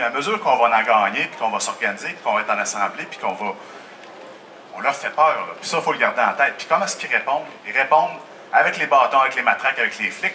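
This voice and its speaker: Very fast, a man talks with a Quebec accent at a medium pitch. Noticeable background noise runs beneath him. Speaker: union representative. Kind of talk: public speech at open-air Q&A. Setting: outdoor festival crowd.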